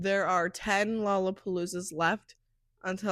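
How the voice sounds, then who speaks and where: On a very clean recording with a silent background, a woman of medium pitch talks at a moderate pace in a monotone, flat intonation. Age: 20s. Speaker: podcast host. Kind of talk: casual monologue podcast. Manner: chatty, filler-heavy.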